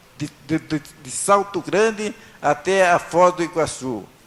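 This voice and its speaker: A man's high voice at a very slow pace, with ordinary pitch variation and noticeable background noise. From northern Paraná, Brazil. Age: 70s. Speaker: honoree. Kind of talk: acceptance speech. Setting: city council chamber with audience. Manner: halting.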